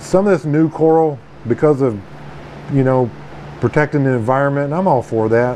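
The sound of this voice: A man speaks at a moderate pace and medium pitch, with a dark, mellow tone and ordinary pitch variation. Faint background noise is present.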